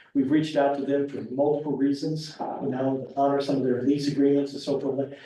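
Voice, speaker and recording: There is noticeable background noise and audible room echo around this man. His fairly high voice holds a monotone, flat intonation. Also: fairly quick pace. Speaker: property developer applicant. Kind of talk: public meeting presentation. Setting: town board meeting. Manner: gets softer the longer he talks; halting, repetitive.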